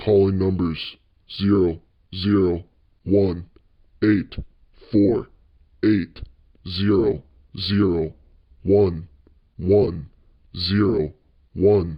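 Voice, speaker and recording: Using a put-on character voice, a man speaks very slowly with a very deep, low pitch and fairly even intonation. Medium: read story.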